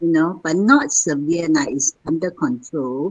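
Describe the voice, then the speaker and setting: A woman with a fairly low pitch speaks at a fairly slow pace, her pitch swinging very widely. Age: 70s. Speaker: participant. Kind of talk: question from audience.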